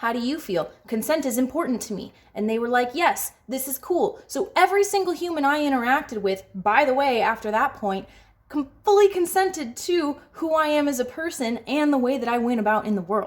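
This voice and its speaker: This woman talks at a fairly quick pace in a high voice whose pitch swings very widely. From United States. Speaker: podcast host. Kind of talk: casual opinion talk to camera. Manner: frank, emphatic.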